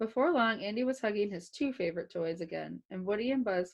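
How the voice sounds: Simply a natural reading voice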